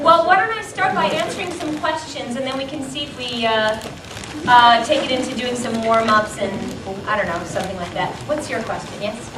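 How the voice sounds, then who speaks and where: Over noticeable background noise, a woman with a high pitch speaks with lively intonation. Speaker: voice actress, star of a famous anime dub. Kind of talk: casual panel talk to a live audience. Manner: friendly, chatty, humorous.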